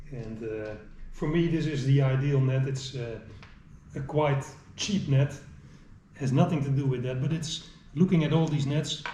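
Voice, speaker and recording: A man with a fairly high pitch talks at a moderate pace, leaving long, frequent pauses and keeping his intonation fairly even. Audible room echo and noticeable background noise surround his voice. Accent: Dutch. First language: Dutch. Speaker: angler. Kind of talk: tutorial. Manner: halting.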